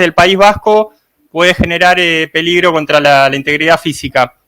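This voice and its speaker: A man talks at a very fast pace in a raised, projected voice. His pitch varies in an ordinary way. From Argentina, Buenos Aires. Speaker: life coach and reporter. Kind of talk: live online panel discussion.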